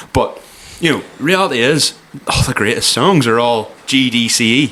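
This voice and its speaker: With a Cork accent, a man speaks at medium pitch with ordinary pitch variation and very even loudness, over noticeable background noise. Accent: Cork Irish. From Ireland, Cork. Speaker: podcast host. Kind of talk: casual chat. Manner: fast.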